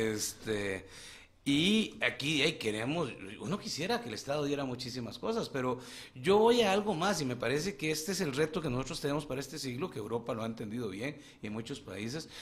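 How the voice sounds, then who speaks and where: This man's pitch swings very widely. He delivers his words at a fairly quick pace. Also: fairly high pitch for a man. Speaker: politician, legislator. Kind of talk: radio interview.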